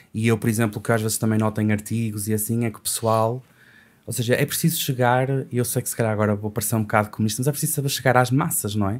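A man rattles along at a very fast pace, keeping his intonation fairly even. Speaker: poet and language teacher. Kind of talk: casual podcast conversation. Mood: reflective, slightly self-aware. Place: studio. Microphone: studio mic.

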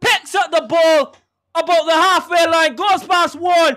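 Shouting in an extremely high pitch with a bright, sharp tone, a man speaks at a fairly slow pace on a very clean recording with a silent background. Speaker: match commentator. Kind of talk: live sports commentary at goals. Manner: excitable, shouting, exclamatory on goals.

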